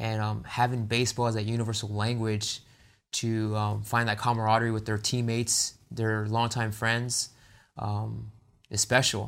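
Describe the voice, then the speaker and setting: A man with an American accent speaks at a moderate pace and medium pitch. His intonation is monotone and flat. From San Diego, California. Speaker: nonprofit co-founder. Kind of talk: interview. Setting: studio.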